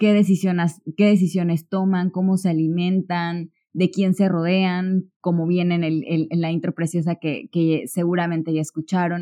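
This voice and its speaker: A woman speaks in a fairly low, dark, mellow voice with flat, monotone intonation and hardly any pauses. The sound is dry and close, with no echo. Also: moderate pace. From Mexico, Córdoba, Veracruz. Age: 20s. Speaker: podcast host. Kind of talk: solo podcast monologue. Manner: hesitant, many fillers.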